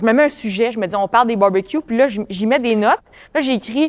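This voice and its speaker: A woman with a Quebec accent talks very fast at a fairly high pitch with ordinary pitch variation, recorded very cleanly against a silent background. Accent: Quebec French, family. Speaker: comedian. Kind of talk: casual chat.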